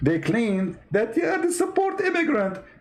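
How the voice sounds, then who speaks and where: A man's voice has a dark, mellow tone and very wide pitch swings. Audible room echo surrounds it. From Middle East. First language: Arabic. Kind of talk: online talk show rant. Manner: animated.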